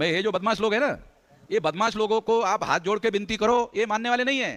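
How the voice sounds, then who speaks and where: Recorded dry and close with no echo, a man talks at a moderate pace in a high pitch with ordinary pitch variation. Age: 60s. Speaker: activist organization leader. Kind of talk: political speech. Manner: emphatic, repetitive.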